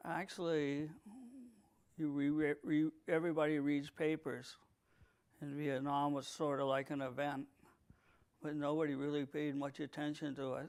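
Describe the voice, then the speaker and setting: A man with a New England accent speaks at a fairly high pitch in a flat monotone, pausing long and often. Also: moderate pace. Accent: New England American. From New England, US. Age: 60s. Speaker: war veteran. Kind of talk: interview. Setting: video recording.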